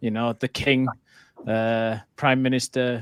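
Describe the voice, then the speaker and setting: A man talks with a British accent. The sound is dry and close, with no echo. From Britain. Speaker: conference speaker. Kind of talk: casual panel discussion.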